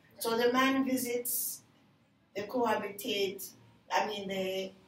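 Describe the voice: Audible room echo surrounds a woman whose intonation is fairly even.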